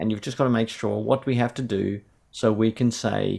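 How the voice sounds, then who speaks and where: Fairly low-pitched male speech in an Australian accent with fairly even intonation. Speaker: theology professor. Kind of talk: interview conversation.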